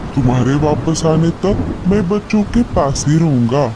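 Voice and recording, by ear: Loud background noise fills this clip of a man in a cartoonish character voice. His pitch is fairly high and his pace fairly slow.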